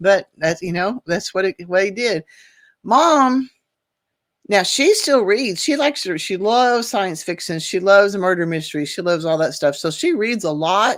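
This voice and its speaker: The speech moves at a moderate pace with lively intonation. The recording is very clean, with a silent background. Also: woman, medium pitch for a woman. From Oklahoma. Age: 60s. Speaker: podcast host. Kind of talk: casual monologue podcast. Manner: halting, many restarts.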